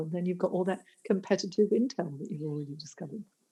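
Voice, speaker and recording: Speaking at a very fast pace, a woman has a fairly low pitch, a dark, mellow tone, ordinary pitch variation and a somewhat breathy sound. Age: 60s. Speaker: careers coach. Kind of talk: podcast interview.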